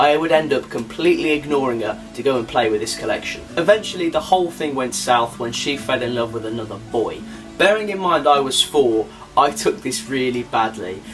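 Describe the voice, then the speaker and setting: A man talks at a fairly quick pace in a medium pitch. Music plays in the background. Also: lively intonation. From Birmingham, England. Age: young. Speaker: filmmaker, BBC production apprentice. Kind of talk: personal documentary narration.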